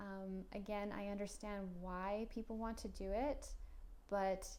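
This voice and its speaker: Speech moves at a very slow pace with fairly even intonation. Room echo is audible. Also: woman. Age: 30s. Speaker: career advice vlogger. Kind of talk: casual monologue.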